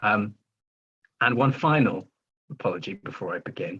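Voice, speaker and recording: A man speaks with an English accent and a medium pitch. His tone is bright and sharp, with ordinary pitch variation. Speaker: writer and filmmaker. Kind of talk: reading aloud. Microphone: Wi-Fi issues.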